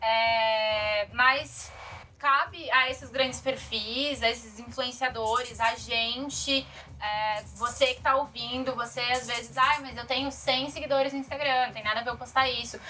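Against noticeable background noise, a woman with a high pitch speaks fairly slowly in a monotone, flat intonation. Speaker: podcast co-host. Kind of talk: casual chat.

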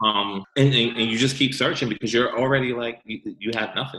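Very fast male speech at medium pitch, with an American accent. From New York, Westchester County. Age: 40s. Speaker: formerly incarcerated guest. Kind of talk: casual chat.

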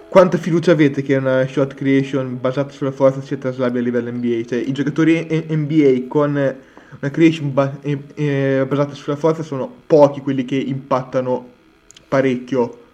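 Flat and monotone in intonation, this voice carries a dark, mellow tone. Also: man, fairly high pitch for a man, moderate pace. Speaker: podcast co-host. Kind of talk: casual chat.

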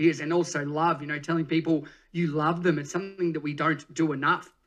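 Against a quiet background, a man speaks fairly quickly at a fairly high pitch, his tone energetic, bright and sharp. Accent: Australian. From rural Australia. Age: 30s. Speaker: fitness educator and speaker. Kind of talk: podcast interview.

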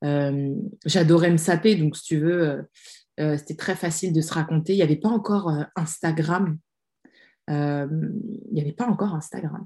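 A woman with a dark, mellow, somewhat breathy tone. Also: fairly low pitch for a woman, ordinary pitch variation, fairly slow pace. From France. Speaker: social media strategy consultant and author. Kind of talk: casual interview.

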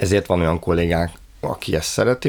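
There is noticeable background noise. Through it, a man speaks with a very deep, low pitch. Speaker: head of a library digitisation department. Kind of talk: interview.

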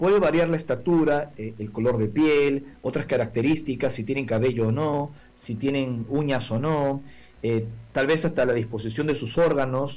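Pitch shifts in an ordinary way at a moderate speed. It is an unremarkable speaking voice. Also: man, fairly high pitch for a man. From Peru, Lima. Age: 40s. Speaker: UFO contactee and lecturer. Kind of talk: interview testimony. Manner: formal.

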